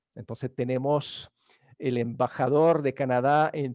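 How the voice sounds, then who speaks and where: In a French accent, a man speaks at a fairly slow pace with a fairly high pitch and ordinary pitch variation, the sound dry and close with no echo against a quiet background. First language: French (speaking Spanish). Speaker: event moderator. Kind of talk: event hosting, introductions. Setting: video conference webinar. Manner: halting, many fillers.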